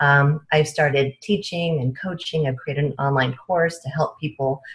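A woman speaks at a moderate pace in a somewhat breathy, very deep, low voice over a quiet background. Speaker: remote podcast guest. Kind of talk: interview answer. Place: home room. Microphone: earbuds.

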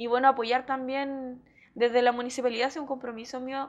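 A woman's voice in a monotone, flat intonation. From Chile, Hualpén (Biobío region); Biobío region, Chile. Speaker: mayoral candidate and school education assistant; candidate. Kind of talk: TV interview. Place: studio. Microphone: lapel.

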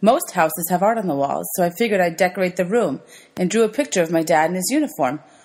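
The text is read aloud in a natural voice.

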